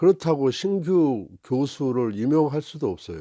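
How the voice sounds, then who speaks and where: With a dark, mellow tone, a man talks at a fairly slow pace in a dry, close sound with no echo. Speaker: commentator with a doctorate. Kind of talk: opinion commentary monologue. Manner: many filler sounds, hesitant.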